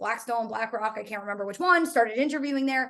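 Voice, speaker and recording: Her pitch varies in an ordinary way. The woman's voice is high-pitched. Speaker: career coach. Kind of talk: webinar presentation. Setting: online webinar. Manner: fast; animated.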